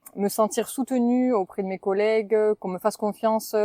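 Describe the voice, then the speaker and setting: Her voice dark and mellow at a medium pitch, a woman with a southwestern French accent speaks at a moderate pace with ordinary pitch variation, in a dry, close sound with no echo. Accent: southwest French. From southwest France, Toulouse area. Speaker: spa sales trainer. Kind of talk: podcast interview. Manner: hesitant, many fillers.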